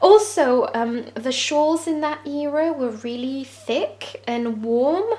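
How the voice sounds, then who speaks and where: With a French accent, a woman speaks very slowly in a high voice with ordinary pitch variation, over noticeable background noise. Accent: French accent, noted by self. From France. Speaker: crochet tutorial creator. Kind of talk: tutorial. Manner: hesitant with frequent fillers.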